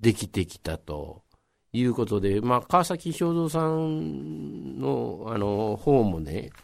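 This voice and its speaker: This man's voice sits at a fairly low pitch with very wide pitch swings. He speaks at a very slow pace. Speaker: local history storyteller. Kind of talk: radio interview.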